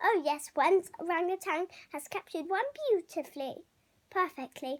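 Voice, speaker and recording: Using a put-on character voice, a woman speaks at an extremely high pitch. Her intonation is lively and her pace moderate. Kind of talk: bedtime story. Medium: read story. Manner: regal, clipped, upper-class.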